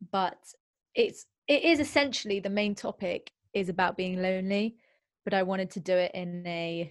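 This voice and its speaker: A woman speaks at a moderate pace and medium pitch in an unremarkable speaking voice. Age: 20s. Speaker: singer-songwriter. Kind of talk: casual interview chat.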